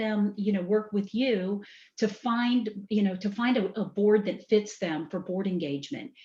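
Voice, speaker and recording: A woman speaks in a slight Southern US accent, her tone dark, mellow and somewhat breathy. She keeps a moderate pace with hardly any pauses. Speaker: business executive. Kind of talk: podcast interview.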